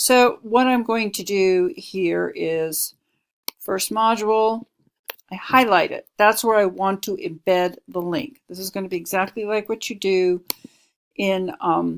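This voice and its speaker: A woman with a plain, everyday voice, medium pitch, ordinary pitch variation and a fairly slow pace. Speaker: instructional designer giving course review feedback. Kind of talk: screen-recorded tutorial. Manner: casual.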